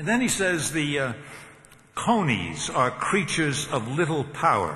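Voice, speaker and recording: Amid noticeable background noise, a man with a fairly high voice talks at a fairly slow pace with very wide pitch swings. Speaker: seminary professor giving a commencement address. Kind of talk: commencement speech, preaching. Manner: conversational, humorous, with filler words.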